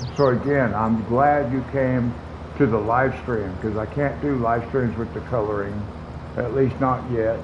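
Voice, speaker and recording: A man's fairly slow speech with ordinary pitch variation, amid noticeable background noise and audible room echo. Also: medium pitch for a man. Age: 60s. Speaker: gaming streamer. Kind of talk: casual live-stream chat. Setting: home live stream, air conditioner running.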